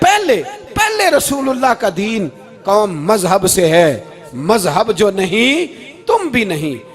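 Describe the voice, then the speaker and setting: Very wide pitch swings run through the voice, with music playing in the background. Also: man, high pitch for a man. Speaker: Islamic preacher. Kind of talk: emotional religious sermon. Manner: passionate, emotional, rhetorical.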